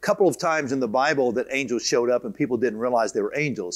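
Lively intonation marks a man's speech, and the background is quiet. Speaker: teacher of a Bible course. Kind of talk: lecture. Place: hall. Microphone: lapel.

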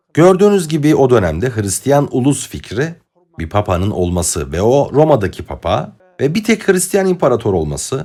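A man's fairly high voice with an Arabic accent, vocal fry and very wide pitch swings. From Egypt. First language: Arabic (speaking Turkish). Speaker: political commentator. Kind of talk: lecture. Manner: formal.

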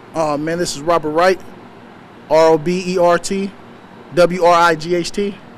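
A man with a high pitch speaks in an animated tone, leaving long, frequent pauses. Light background noise can be heard. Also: moderate pace. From San Francisco Bay Area, West Oakland; California. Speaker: fire witness interviewed by local news. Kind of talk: street news interview; news interview answer. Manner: animated, casual slangy speech; repetitive stammering restarts. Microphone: handheld.

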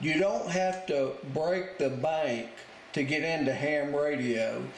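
A man speaks at a very slow pace with ordinary pitch variation. There is audible room echo and light background noise. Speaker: radio hobbyist. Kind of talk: tutorial. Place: home room.

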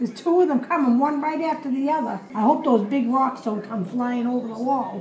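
A high-pitched woman with a Boston accent and lively intonation, audible room echo and light background noise behind her. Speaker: mother of the uploader. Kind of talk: casual live commentary. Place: home room. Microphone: phone near.

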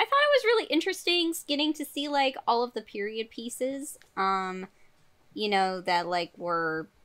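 Using a raised, projected voice, a woman speaks with a bright, sharp tone and very wide pitch swings. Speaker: podcast panelist. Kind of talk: casual discussion, movie review opinion. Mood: thoughtful, somewhat hesitant. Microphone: video call.

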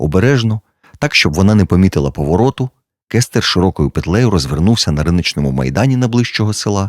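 Lively intonation in plain reading aloud over a quiet background

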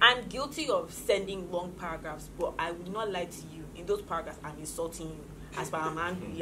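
Over noticeable background noise, a woman with a fairly low pitch and ordinary pitch variation talks at a very fast pace with big swings in loudness. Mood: opinionated, animated. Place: studio.

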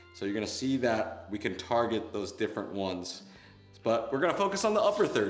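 Audible room echo surrounds a man as he talks. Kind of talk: tutorial. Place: gym.

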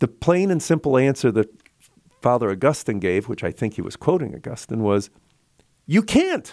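In a quiet background, a man speaks at a moderate pace with long, frequent pauses. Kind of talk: relaxed radio chat. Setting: radio studio, live broadcast. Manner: conversational, warm, rambling. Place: studio. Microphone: studio mic.

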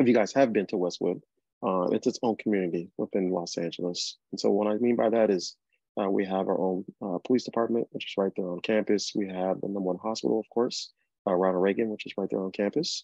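In a dry recording with no echo and a quiet background, a man speaks at a very fast pace, his fairly low voice dark and mellow with ordinary pitch variation. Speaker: presenter. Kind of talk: informational presentation. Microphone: video call.

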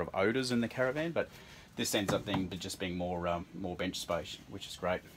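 A man speaks at a fairly quick pace. Music can be heard in the background. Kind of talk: tour commentary. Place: home room. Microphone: phone near.

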